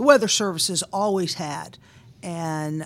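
A plain, everyday voice: a woman with an American accent, fairly low in pitch with ordinary variation, at a fairly slow pace. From Boston, US. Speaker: meteorologist and business owner. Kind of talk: interview.

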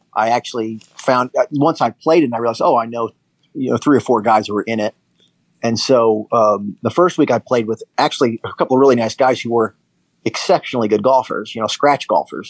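With a plain, everyday voice, a man speaks fairly quickly at medium pitch with ordinary pitch variation, in dry, close sound with no echo. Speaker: podcast co-host. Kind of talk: casual chat.

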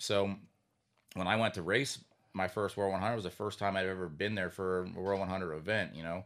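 Recorded very cleanly with a silent background, a man with a very deep, low pitch speaks at a fairly quick pace with fairly even intonation. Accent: American. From Pennsylvania (Sinking Spring). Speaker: racing driver. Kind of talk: casual interview. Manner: halting, many fillers.

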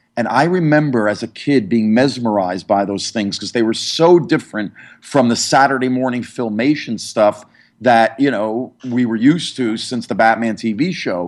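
A man speaks in an ordinary speaking voice at a medium pitch with ordinary pitch variation. His pace is moderate, and the background is quiet. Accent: American. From New York area, New Jersey. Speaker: comic book historian and graphic designer. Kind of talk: interview.

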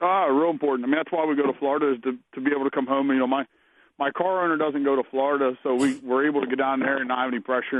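Speaking very fast, a man with an American accent keeps a medium pitch and fairly even intonation. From Pennsylvania. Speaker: sprint car driver. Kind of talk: interview. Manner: halting.

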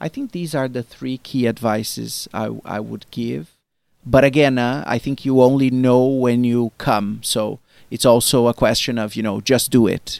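Speaking with a Portuguese accent, a man uses a medium pitch with ordinary pitch variation on a very clean recording with a silent background. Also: moderate pace. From Brazil. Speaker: marketing executive. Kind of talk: interview. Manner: halting, many fillers.

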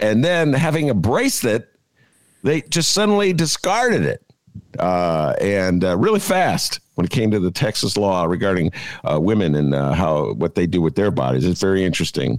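The speaker has an American accent and a moderate pace. Loudness stays very even. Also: man. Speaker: podcast host. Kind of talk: casual chat.

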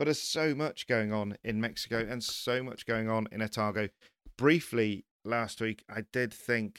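In an English accent, a man talks at a moderate pace with a medium pitch and ordinary pitch variation. The recording is very clean with a silent background, and the sound is dry and close with no echo. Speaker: podcast host, motorsport journalist. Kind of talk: casual chat.

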